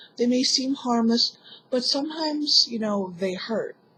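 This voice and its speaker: A woman's somewhat breathy voice at a moderate pace, with ordinary pitch variation. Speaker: vlogger. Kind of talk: personal vlog monologue.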